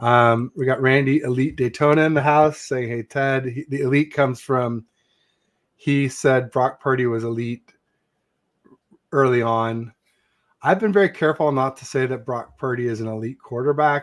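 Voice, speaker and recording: A man talks at a moderate pace in a plain, everyday voice. His pitch is medium and his intonation fairly even. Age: 50s. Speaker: sports podcast host, 49ers fan. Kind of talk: casual chat.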